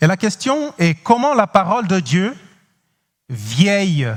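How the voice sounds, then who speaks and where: A man talks at a very slow pace. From Cape Verde. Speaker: pastor. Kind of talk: sermon. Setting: church. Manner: halting, frequent hesitations.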